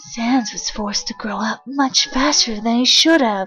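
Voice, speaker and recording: A female-sounding voice puts on a character voice at a fairly high pitch for a woman. The pace is moderate. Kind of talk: comic dub. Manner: angry, accusing.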